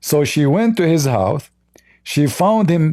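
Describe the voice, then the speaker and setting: A man speaks at a very slow pace, with a dark, mellow tone and a non-native accent. His intonation is lively. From Middle East. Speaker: religion critic, livestream host. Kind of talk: livestream commentary. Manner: halting, many fillers and repetitions.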